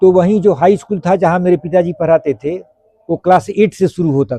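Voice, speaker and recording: Recorded with a dry, close sound and no echo, a man speaks at a moderate pace in a high pitch. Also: ordinary pitch variation, big swings in loudness. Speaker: retired air force veteran. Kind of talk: interview answer.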